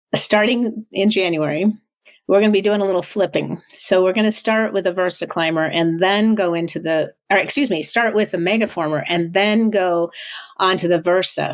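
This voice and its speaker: A woman speaks at a medium pitch with ordinary pitch variation. Her loudness stays very even. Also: moderate pace. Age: 60s. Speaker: fitness studio owner. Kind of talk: interview. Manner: hesitant fillers.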